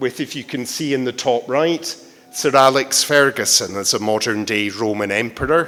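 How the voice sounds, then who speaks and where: With ordinary pitch variation and a moderate pace, the speech is heard against noticeable background noise. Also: man, medium pitch for a man. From Britain. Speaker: art lecturer. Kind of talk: lecture.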